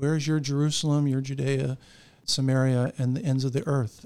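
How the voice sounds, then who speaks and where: Fairly high in pitch for a man, this is a plain, everyday voice with an American accent, speaking at a moderate pace. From Florida (Orlando). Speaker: pastor. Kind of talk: casual interview.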